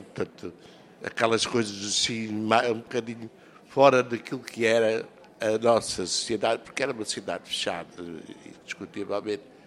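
Over noticeable background noise, a man speaks at a moderate pace in a monotone, flat intonation, with long, frequent pauses. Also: medium pitch for a man. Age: 70s. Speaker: elderly interviewee sharing memories. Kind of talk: reminiscing interview.

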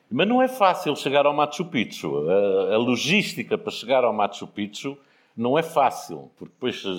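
Very wide pitch swings and vocal fry in a man's speech. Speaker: businessman and foundation founder. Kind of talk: casual storytelling interview.

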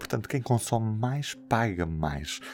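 In a very clean recording with a silent background, a man talks at a moderate pace in an ordinary speaking voice with lively intonation. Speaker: podcast host. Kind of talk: interview. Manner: formal.

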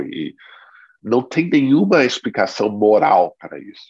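A man is speaking. His pace is very slow. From United States. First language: English (speaking Portuguese). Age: 40s. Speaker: biographer and author. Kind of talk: interview at a reading club.

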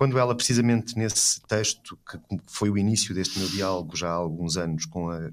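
A man's fairly low-pitched, normal speaking voice at a moderate pace, on a very clean recording with a silent background. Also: ordinary pitch variation. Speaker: philosophy professor and art critic. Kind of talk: conversational interview.

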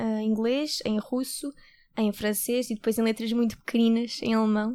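A woman speaks in a fairly high voice with a flat, monotone delivery. The recording is very clean, with a silent background. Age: 20s. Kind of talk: interview.

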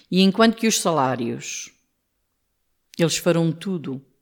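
A woman talks at a fairly slow pace on a very clean recording with a silent background. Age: 60s. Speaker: trade union leader. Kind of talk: interview.

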